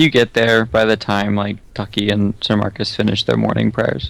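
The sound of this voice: This is an unforced reading voice. That is how it sounds throughout.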